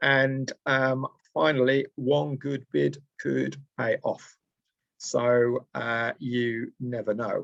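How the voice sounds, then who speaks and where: A man talks at a very slow pace, recorded with a dry, close sound and no echo. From Lancashire, Preston. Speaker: trainer. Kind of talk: online presentation. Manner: hesitant, many fillers.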